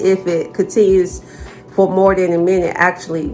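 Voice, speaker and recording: A woman speaks at a moderate pace with a medium pitch. Music plays in the background. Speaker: vlogger sharing chronic illness experience. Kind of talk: personal vlog talk to camera. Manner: stuttering, halting.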